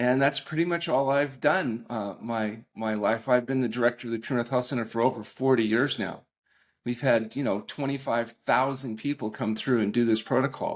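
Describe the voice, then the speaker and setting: In a very clean recording with a silent background, a man with an unremarkable speaking voice talks at a fairly quick pace in a medium pitch. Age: 60s. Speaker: doctor specializing in fasting and nutritional medicine. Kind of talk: podcast interview.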